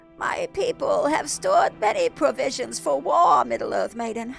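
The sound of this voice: A put-on character voice moves at a moderate pace over clear music in the background.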